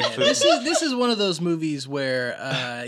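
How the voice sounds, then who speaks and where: Over noticeable background noise, a man with a high voice speaks at a moderate pace, his pitch swinging very widely. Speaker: podcast co-host. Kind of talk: casual, profane.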